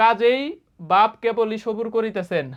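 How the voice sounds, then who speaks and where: A man is speaking. The background is quiet. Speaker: exam coaching teacher. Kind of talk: lecture.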